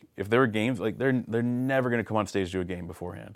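With a Canadian accent, a man speaks at a very fast pace and medium pitch with lively intonation. The recording is very clean, the background silent. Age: 40s. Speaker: youth pastor. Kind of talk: casual chat.

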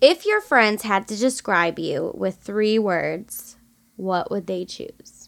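The speaker has an American accent and talks at a very slow pace. The loudness swings a great deal. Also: woman. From Michigan. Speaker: podcast host. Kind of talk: casual chat.

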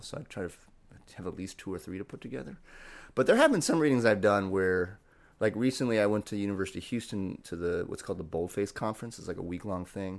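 A man with an American accent speaks at a very fast pace in a very clean recording with a silent background. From US Midwest, Cleveland, Ohio. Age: 40s. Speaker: poet. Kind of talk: casual chat.

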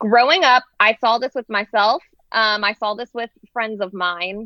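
A woman with an ordinary speaking voice, fairly high in pitch, at a fairly slow pace. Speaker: podcast owner and co-host. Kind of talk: casual chat.

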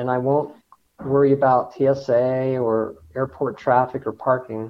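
A man with a General American accent and a medium pitch. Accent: General American (Colorado). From Denver, Colorado. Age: 60s. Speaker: engineer and hyperloop research leader. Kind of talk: interview.

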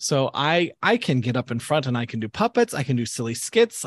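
Over a quiet background, the voice moves at a moderate pace with very wide pitch swings, the sound dry and close with no echo. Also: man. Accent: American. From US Midwest, Southern Illinois. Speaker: youth camp director. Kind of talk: interview testimony.

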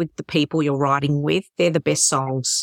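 The sound is dry and close, without echo. A woman talks in an Australian accent. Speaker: podcast host, worship leader. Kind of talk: interview conversation.

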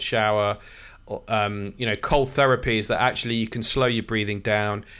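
In a very clean recording with a silent background, a man with an East Midlands accent talks at medium pitch with ordinary pitch variation. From Nottingham, England. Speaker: executive coach. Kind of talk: casual interview.

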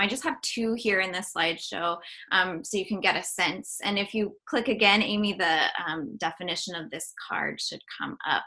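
A woman speaks in an American accent at a medium pitch. Her tone is bright and sharp. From North Carolina, US South. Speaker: artist and musician. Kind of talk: artist talk presentation. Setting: video call.

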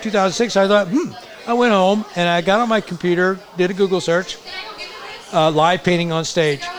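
A high-pitched male voice at a moderate pace, ordinary pitch variation, crowd noise behind it. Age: 60s. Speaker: muralist artist. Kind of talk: storytelling in casual conversation.

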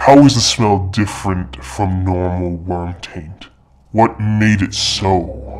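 Growling in a put-on character voice, a man speaks very slowly at a very deep, low pitch, with lively intonation and big swings in loudness.

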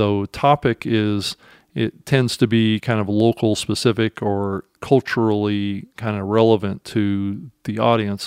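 A man's normal speaking voice, fairly low in pitch, fairly even in intonation, over a quiet background. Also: fairly slow pace, dry, close sound with no echo. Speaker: podcast host. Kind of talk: podcast monologue and interview.

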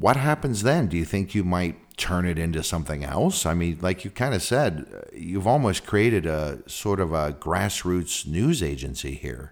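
This man has a very deep, low pitch with vocal fry and an American accent. He moves at a moderate pace, his pitch swinging very widely. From San Francisco, California. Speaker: podcast host. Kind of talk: casual interview. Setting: video call.

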